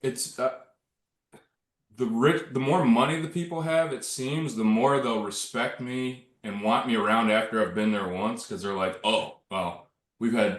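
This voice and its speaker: A plain, everyday voice moves at a fairly slow pace. The intonation is lively. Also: man, medium pitch for a man. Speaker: handyman contractor, small business owner. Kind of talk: casual group discussion.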